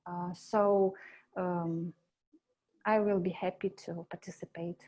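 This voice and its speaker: A woman with a Russian accent speaks at a very slow pace, fairly low in pitch. Her tone is dark and mellow, her intonation flat and monotone. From Belarus. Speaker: animator. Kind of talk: job interview. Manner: halting, many fillers.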